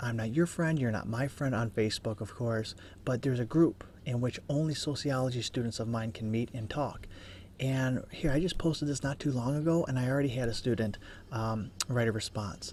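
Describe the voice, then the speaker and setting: A man whispering quietly at a fairly quick pace. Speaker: college instructor. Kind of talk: tutorial. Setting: office cubicle.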